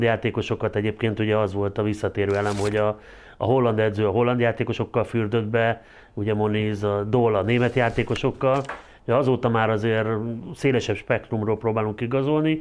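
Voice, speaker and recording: Fairly quick and very even in loudness, a man with an unremarkable speaking voice talks at a medium pitch with fairly even intonation over a quiet background. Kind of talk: casual discussion.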